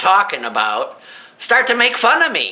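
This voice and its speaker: A man's high, raised and projected voice over noticeable background noise. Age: 60s. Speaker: amateur artist and inventor. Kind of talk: casual presentation of own artwork. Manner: halting.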